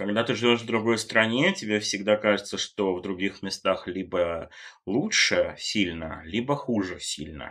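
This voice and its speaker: A man's bright, sharp tone, fairly low in pitch with ordinary variation, at a fairly slow pace in a very clean recording with a silent background. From Germany and Great Britain (left Russia at six). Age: 30s. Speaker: fashion journalist. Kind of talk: casual interview chat.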